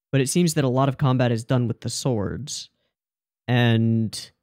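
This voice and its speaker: The voice moves at a fairly slow pace with ordinary pitch variation. The sound is dry with no echo, over a quiet background. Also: man. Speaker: anime reviewer. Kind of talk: casual reaction commentary. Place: home room. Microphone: studio mic.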